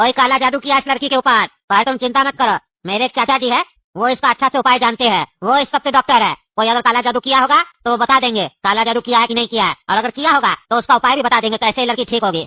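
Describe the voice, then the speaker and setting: A female-sounding, cartoonish character voice with a fairly high pitch races along at a very fast pace against a quiet background. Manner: rambling, jokey.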